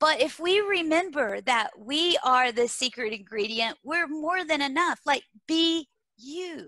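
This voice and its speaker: Projecting a raised voice, a woman with an American accent speaks fairly slowly at a high pitch, her tone bright and sharp and her intonation lively. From small-town Texas. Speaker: leadership and learning speaker. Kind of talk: interview. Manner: animated.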